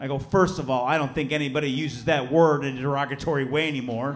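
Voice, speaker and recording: A man's fairly high-pitched voice at a fairly quick pace, with fairly even intonation. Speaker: stand-up comedian. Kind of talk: stand-up comedy performance. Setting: live comedy club with audience. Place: stage. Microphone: handheld.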